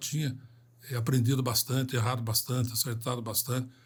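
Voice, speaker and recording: A man with a medium-pitched, somewhat breathy voice talks at a fairly quick pace. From Brazil, São José dos Campos, São Paulo state. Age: 70s. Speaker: civil engineer and company founder. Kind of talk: podcast interview. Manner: hesitant fillers.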